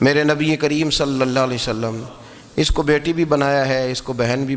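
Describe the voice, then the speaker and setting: This man has a normal speaking voice. His pitch sits fairly high. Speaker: Islamic scholar giving a lecture. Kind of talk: Islamic religious lecture (bayan).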